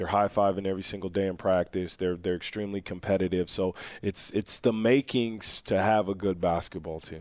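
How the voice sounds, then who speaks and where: Very deep and low in pitch, a man talks with hardly any pauses and fairly even intonation. The recording is very clean, with a silent background. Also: fairly quick pace. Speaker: men's basketball coach. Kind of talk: interview.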